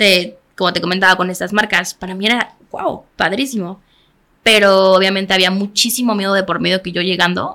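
Bright and sharp in tone, a woman's voice sits at a medium pitch. She keeps a moderate pace and fairly even intonation. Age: 20s. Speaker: makeup artist. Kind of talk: interview.

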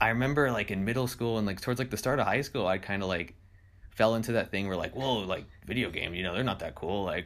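This man talks at a very fast pace with a West Coast accent. His pitch varies in an ordinary way. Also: medium pitch for a man. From California, Monterey. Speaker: college student and streamer. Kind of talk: casual chat.

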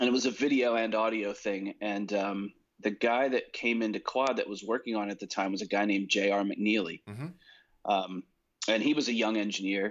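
Fairly low-pitched man with an American accent, a normal speaking voice, fairly even intonation and a fairly quick pace. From New Jersey. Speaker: recording and mix engineer. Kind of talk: casual interview.

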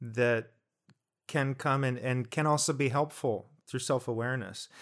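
A man with an American accent speaks at a fairly slow pace in an ordinary speaking voice, his pitch medium, on a very clean recording with a silent background. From New Jersey. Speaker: podcast co-host. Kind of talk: casual chat.

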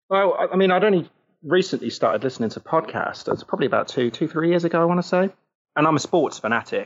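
Talking at a very fast pace, a man speaks in a southern English accent. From Southampton, southern England. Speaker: football podcaster and fan. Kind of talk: casual chat.

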